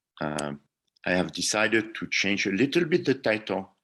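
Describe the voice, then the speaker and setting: The background is silent and the recording very clean. The speaker talks in a French accent. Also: man. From France. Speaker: engineering professor. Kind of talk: lecture presentation.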